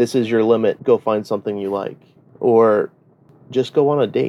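In a dry, close sound with no echo, a man talks at a moderate pace with a dark, mellow tone, medium pitch and fairly even intonation. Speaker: sugar daddy. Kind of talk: interview.

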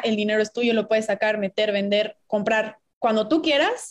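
This is a plain, everyday voice moving at a fairly quick pace. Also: woman. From Mexico, Puebla. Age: 20s. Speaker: business student and investing content creator. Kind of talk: casual interview.

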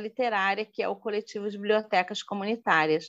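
Against a quiet background, a woman is heard. Her intonation remains fairly even. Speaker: community library activist. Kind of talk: podcast interview. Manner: hesitant with fillers.

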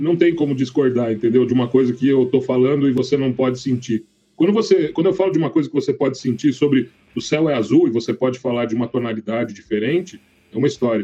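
A man speaks very fast at a medium pitch with ordinary pitch variation. His tone is dark and mellow. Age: 30s. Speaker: podcast co-host. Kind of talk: casual debate.

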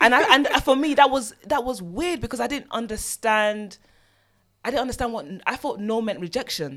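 Speaking with a British accent, a woman with a high pitch keeps a moderate pace and lively intonation. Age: 30s. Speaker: author. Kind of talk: personal testimony interview. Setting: studio.

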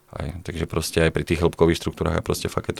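The sound is dry and close, with no echo. A man speaks very fast in a very deep, low pitch, his intonation monotone and flat. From Slovakia. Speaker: physiotherapist and fitness coach. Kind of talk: casual interview.

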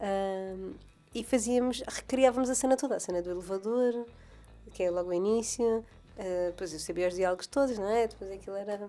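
Speaking at a fairly quick pace, a woman has a dark, mellow tone, medium pitch and ordinary pitch variation. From Madeira, Portugal. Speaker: podcast co-host. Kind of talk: casual chat.

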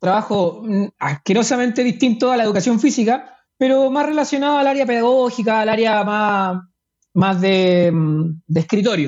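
A moderate pace in a Chilean accent. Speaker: ultramarathon runner. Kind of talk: interview. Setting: at home.

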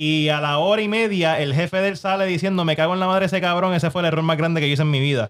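A man speaks at a very fast pace with hardly any pauses, his loudness very even. His pitch is high, with ordinary pitch variation. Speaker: podcast host. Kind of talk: casual chat. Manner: animated.

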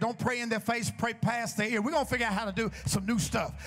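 Over music in the background, a man speaks in an animated tone at an extremely high pitch. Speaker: preacher. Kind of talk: sermon. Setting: church with congregation. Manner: animated, rousing call-and-response, urging the congregation to shout back; rhythmic, repetitive, building to a fervent crescendo.

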